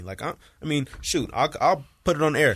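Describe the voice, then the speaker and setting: With vocal fry and lively intonation, a man speaks at a fairly quick pace. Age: 20s. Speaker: college football player and podcast co-host. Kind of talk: casual chat. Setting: studio. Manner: animated.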